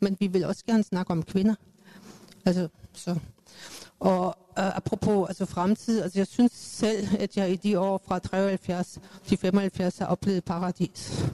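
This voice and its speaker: A woman with a German accent speaks very slowly in a medium-pitched, dark, mellow voice, monotone and flat, with long, frequent pauses and a dry, close sound with no echo. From Germany, Cologne. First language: German (speaking Danish). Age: 60s. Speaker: feminist activist, panelist. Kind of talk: panel debate. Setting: live event with audience.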